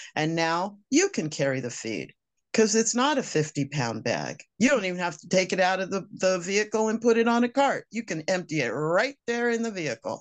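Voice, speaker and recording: A woman with a medium pitch and vocal fry talks at a moderate pace, with hardly any pauses and very wide pitch swings. The background is quiet. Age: 60s. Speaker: homesteader. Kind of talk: interview.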